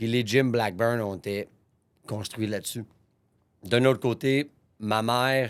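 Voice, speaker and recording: A man speaks at a very slow pace, with long, frequent pauses and a medium pitch. His intonation is fairly even, and the recording is very clean with a silent background. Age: 30s. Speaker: gym owner, podcast host. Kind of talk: personal storytelling monologue. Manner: casual, with false starts.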